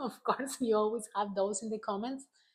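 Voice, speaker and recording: In a Spanish accent, a woman speaks at a medium pitch. The recording is very clean and the background silent. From Argentina. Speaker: travel vlogger. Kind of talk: casual vlog monologue.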